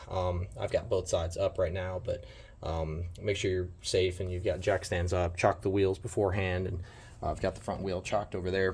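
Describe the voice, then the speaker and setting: Speaking at a moderate pace, a man with a very deep, low pitch sounds somewhat breathy and uses monotone, flat intonation. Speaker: amateur trailer owner. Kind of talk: DIY tutorial talk to camera. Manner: casual, hesitant.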